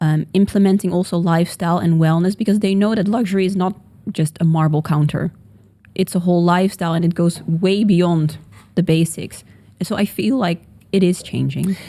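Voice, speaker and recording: In a Dutch accent, a woman with a dark, mellow tone and fairly low pitch speaks at a fairly quick pace, her loudness very even and her intonation fairly even. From Netherlands. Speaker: podcast co-host, real estate agent. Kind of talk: casual chat.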